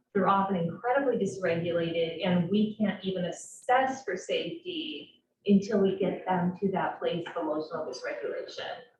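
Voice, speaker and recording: A woman's medium-pitched voice with ordinary pitch variation, hardly any pauses, and audible room echo. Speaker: crisis services clinician. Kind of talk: presentation to a public board meeting. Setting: public board meeting. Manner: fast.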